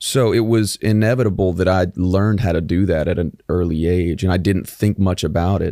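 Against a quiet background, a man with an American accent speaks at a moderate pace in a very deep, low pitch, with a dark, mellow tone, fairly even intonation, hardly any pauses, very even loudness and a dry sound with no echo. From Del Rio, Texas; Texas. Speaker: country singer-songwriter; guest. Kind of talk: casual interview chat; interview answer. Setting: studio. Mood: relaxed, friendly. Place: studio. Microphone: studio mic.

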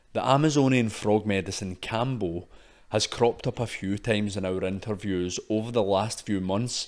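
A man talks with a Scottish accent. His pitch is fairly low. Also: ordinary pitch variation, moderate pace. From Scotland. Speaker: podcast host. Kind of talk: scripted narration.

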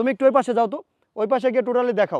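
A man's voice at an extremely high pitch. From Bangladesh, Pabna (Chalan Beel area). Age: 20s. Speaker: vlogger. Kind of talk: vlog. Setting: outdoors.

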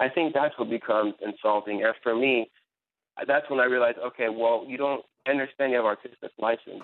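With an ordinary speaking voice, a man talks at a fairly quick pace, his medium pitch held to fairly even intonation. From Iran, raised in US. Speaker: journalist. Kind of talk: radio panel discussion.

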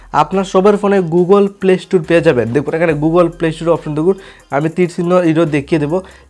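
Here a man speaks at a high pitch. His intonation stays fairly even. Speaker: tech tutorial YouTuber. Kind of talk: tutorial.

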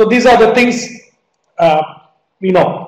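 A man is speaking. Room echo can be heard. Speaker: medical lecturer. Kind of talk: lecture. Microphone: video call.

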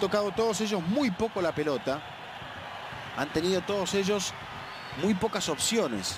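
Over noticeable background noise, a man with a high pitch talks at a moderate pace, his intonation lively and his pauses long and frequent. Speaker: football commentator. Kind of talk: live commentary.

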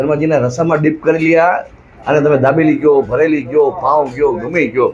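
A man's fairly high-pitched voice at very even loudness. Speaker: food vlogger. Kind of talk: food review vlog. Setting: street food stall. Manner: animated.

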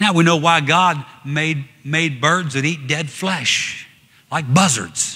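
A man's fairly high voice at a very slow pace, with long, frequent pauses and faint music in the background. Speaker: evangelist preaching a sermon. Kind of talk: church sermon with congregation interaction. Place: church.

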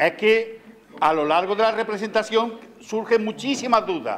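A man's high-pitched voice at a fairly slow pace over light background noise. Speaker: presenter. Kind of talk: public talk to audience. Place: stage.

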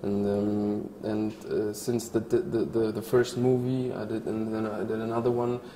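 A man with a Polish accent speaks at a fairly slow pace in a monotone, flat intonation. Light background noise and audible room echo can be heard. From Poland. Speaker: actor. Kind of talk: interview answer. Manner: hesitant, thoughtful. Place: hall. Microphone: lapel.

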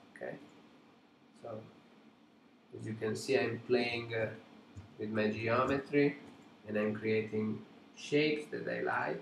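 A man with an Italian accent speaks in a somewhat breathy, medium-pitched voice with ordinary pitch variation. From Italy. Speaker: digital sculptor and art teacher. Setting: live stream from home studio.

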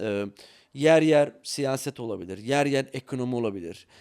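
A man speaks at a moderate pace with lively intonation, his voice dry and close with no echo. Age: 40s. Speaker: CEO of a study-abroad consultancy, former English teacher. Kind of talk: podcast interview. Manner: hesitant, many filler sounds.

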